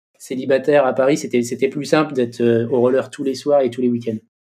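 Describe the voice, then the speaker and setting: Speaking at a fairly quick pace, a man uses a medium pitch, fairly even intonation and a dark, mellow tone. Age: 40s. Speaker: inline skater and sports official. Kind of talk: interview.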